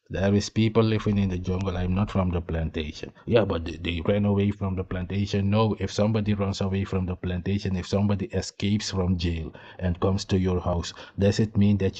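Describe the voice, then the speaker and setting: Against a quiet background, a man speaks in a fairly low, dark, mellow voice with monotone, flat intonation. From eastern Suriname, Maroon interior. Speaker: YouTube commentator. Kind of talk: reaction video commentary.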